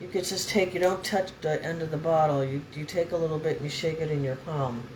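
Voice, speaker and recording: A very deep, low-pitched woman's voice at a fairly quick pace with fairly even intonation, audible room echo and noticeable background noise. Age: 70s. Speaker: spiritual vlogger. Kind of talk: casual chat. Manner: rambling, jumping between topics.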